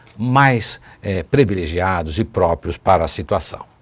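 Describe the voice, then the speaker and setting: Ordinary pitch variation in a very deep, low male voice moving at a middling speed. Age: 60s. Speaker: city councillor, politician. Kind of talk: TV interview. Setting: TV studio, live.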